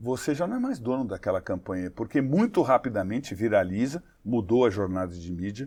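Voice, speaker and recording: With hardly any pauses, a man talks at a fairly quick pace in a medium pitch. His intonation is lively and his tone dark and mellow. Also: quiet background. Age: 60s. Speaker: advertising executive. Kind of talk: interview.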